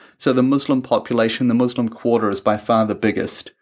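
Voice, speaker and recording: Speaking in a New Zealand accent at a moderate pace, a man has a medium pitch on a very clean recording with a silent background. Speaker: travel podcast host. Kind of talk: casual chat.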